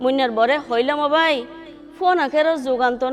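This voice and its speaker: A woman talks in a high voice with a Chittagong accent. Music plays in the background. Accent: Chittagonian. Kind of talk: poetry reading. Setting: studio.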